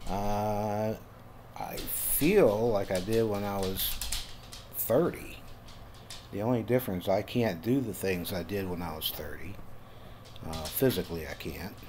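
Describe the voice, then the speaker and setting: In a room with audible echo, a man with a fairly low pitch speaks at a fairly slow pace in a relaxed tone, with ordinary pitch variation and long, frequent pauses. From Louisiana. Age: 60s. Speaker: YouTuber guiding relaxing art. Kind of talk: casual narrated tutorial. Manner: relaxed, with many fillers.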